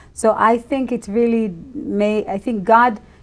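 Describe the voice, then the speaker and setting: A woman with an Israeli accent speaks at a fairly slow pace in a very clean recording with a silent background. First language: Hebrew. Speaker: ministry leader. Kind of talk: interview.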